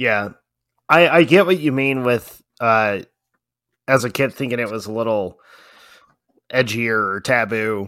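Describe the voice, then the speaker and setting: In a very clean recording with a silent background, a man speaks at a medium pitch in a bright, sharp tone. His fairly slow pace includes long, frequent pauses, with ordinary pitch variation. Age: 30s. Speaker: movie podcast co-host. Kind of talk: casual chat. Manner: animated.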